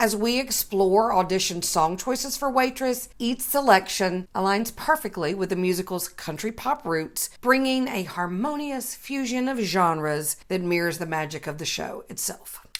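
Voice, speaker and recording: The delivery is animated in tone, with lively intonation. It runs at a moderate pace with hardly any pauses. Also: woman, medium pitch for a woman. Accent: Southern US. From US South. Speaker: vocal coach. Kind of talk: online tutorial.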